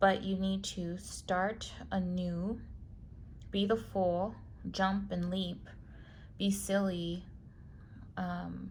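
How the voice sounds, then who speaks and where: There is audible room echo as a woman talks. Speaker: tarot reader. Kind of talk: tarot reading. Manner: slow.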